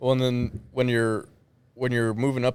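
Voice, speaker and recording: This man has a medium pitch. He speaks at a moderate pace. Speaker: combat sports gym owner and coach. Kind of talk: casual chat. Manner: monotone.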